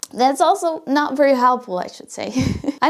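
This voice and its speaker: A woman talks fairly quickly, her intonation lively, while background noise is noticeable. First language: not English. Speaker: YouTube coach. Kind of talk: tutorial.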